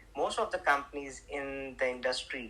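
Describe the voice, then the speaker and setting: An Indian accent at a moderate pace. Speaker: entrepreneur selling handmade carpets. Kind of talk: casual group chat on audio stage. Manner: halting, many fillers and restarts.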